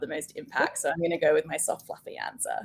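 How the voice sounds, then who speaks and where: A woman talks at a very fast pace. She speaks with an Australian accent. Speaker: change management director. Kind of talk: casual interview chat.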